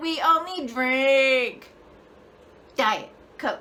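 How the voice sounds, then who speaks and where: A woman performs a put-on character voice at a high pitch. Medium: voice reel. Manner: soft.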